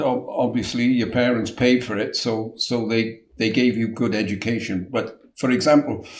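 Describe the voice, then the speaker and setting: Speaking at a fairly slow pace, a man with a South Wales accent keeps a medium pitch. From Wales, Newport. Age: 70s. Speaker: chip shop owner. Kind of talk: interview.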